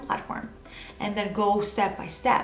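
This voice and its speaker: A woman with a Spanish accent at a moderate pace, with audible room echo and noticeable background noise. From Venezuela. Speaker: video producer and personal branding coach. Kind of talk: tutorial. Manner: self-correcting, occasional false starts.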